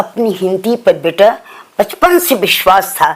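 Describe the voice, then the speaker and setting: Over noticeable background noise, a woman of medium pitch speaks with lively intonation. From Bihar, India. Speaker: writer. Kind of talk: interview.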